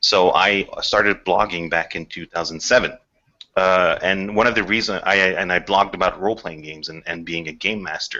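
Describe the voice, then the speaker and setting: A man's very deep, low voice with a non-native accent, fairly even intonation, a moderate pace and big swings in loudness. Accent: noticeable non-native. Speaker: game writer. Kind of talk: podcast interview. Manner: halting, many repetitions.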